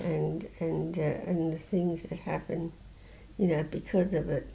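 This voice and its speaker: A woman speaks at a fairly slow pace with a dark, mellow tone and vocal fry. Her fairly low pitch stays monotone, with flat intonation. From Southern England. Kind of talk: interview answer. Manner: hesitant, halting.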